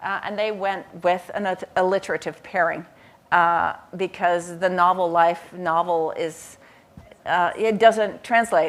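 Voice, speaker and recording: A woman with a fairly low voice speaks at a fairly slow pace. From Netherlands. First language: Dutch. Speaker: professor and author. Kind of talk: panel conversation. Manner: halting.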